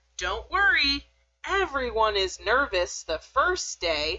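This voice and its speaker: Using a put-on character voice, a woman speaks at a high pitch and a fairly slow pace. Her pitch swings very widely. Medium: read story. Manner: gushing, brisk.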